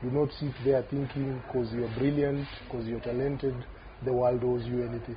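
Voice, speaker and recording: Against noticeable background noise, a man talks at a medium pitch with monotone, flat intonation. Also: moderate pace. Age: 40s. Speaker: rugby player. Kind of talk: casual chat.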